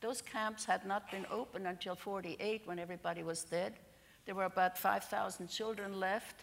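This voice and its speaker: At a moderate pace, a woman speaks at a medium pitch with fairly even intonation and vocal fry. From Serbia (ethnic German community). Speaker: Holocaust survivor. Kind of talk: testimony. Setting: church.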